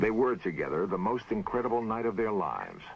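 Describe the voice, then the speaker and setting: Music plays in the background as a man with a fairly low voice speaks at a moderate pace. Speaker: TV documentary host. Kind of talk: documentary narration. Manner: calm, thoughtful.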